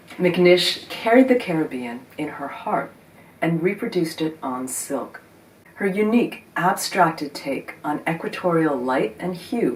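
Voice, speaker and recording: A woman with an American accent speaks at a fairly low pitch with very wide pitch swings. Noticeable background noise is heard. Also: fairly slow pace. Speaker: video host on vintage scarves. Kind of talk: scripted narration.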